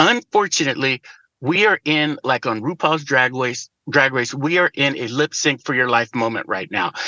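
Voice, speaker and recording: The speaker has a normal speaking voice with an American accent. Pitch variation is ordinary. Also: man, fairly high pitch for a man, moderate pace. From Chicago, US Midwest. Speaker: political activist. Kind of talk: casual chat.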